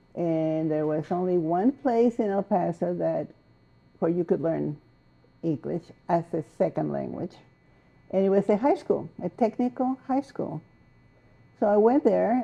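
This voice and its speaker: This woman talks at a moderate pace with a Spanish accent and a medium pitch. Her intonation is lively. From Mexico. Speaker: poet and essayist. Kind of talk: interview.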